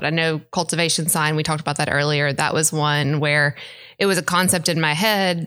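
A woman's fairly low, bright and sharp voice in a Mississippi accent, on a very clean recording with a silent background. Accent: US Southern (Mississippi). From Mississippi (Brandon, near Jackson). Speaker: interior designer. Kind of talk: interview.

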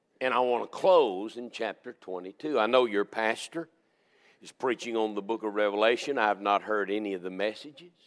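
With an American accent, a man talks at a fairly quick pace and a fairly low pitch, with ordinary pitch variation and big swings in loudness, in a very clean recording with a silent background. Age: 60s. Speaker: Baptist preacher. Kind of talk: sermon. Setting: church.

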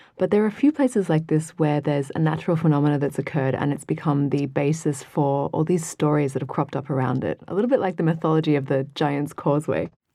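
Very fast delivery with hardly any pauses, ordinary pitch variation, and noticeable background noise. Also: woman, very deep, low pitch for a woman. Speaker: editor. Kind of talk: casual chat.

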